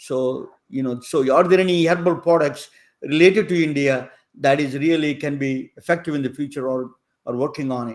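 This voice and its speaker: In a very clean recording with a silent background, a man with a plain, everyday voice talks at a moderate pace, his fairly high pitch showing ordinary variation. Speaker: podcast interviewer. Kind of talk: interview.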